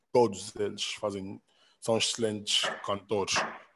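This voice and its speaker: A man with a plain, everyday voice talks at a moderate pace, his pitch fairly low and his intonation fairly even. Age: 30s. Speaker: rapper and music producer. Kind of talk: casual interview.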